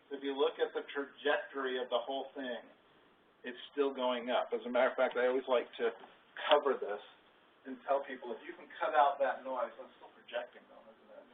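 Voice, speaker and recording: The speaker talks at a fairly quick pace, with big swings in loudness. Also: man. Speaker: financial advisor presenting 401k orientation. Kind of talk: workplace presentation. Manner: fast.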